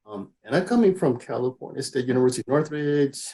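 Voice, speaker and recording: Speaking at a fairly quick pace with a Spanish accent, a man has a dark, mellow tone and ordinary pitch variation. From Mexico. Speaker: engineer and STEM outreach coordinator. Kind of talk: interview.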